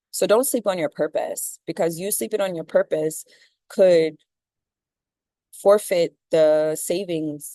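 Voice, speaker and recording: A woman with an American accent speaks at a fairly slow pace in a fairly low pitch, her tone dark and mellow, her intonation fairly even, the sound dry and close with no echo. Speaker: spiritual content creator. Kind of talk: motivational monologue.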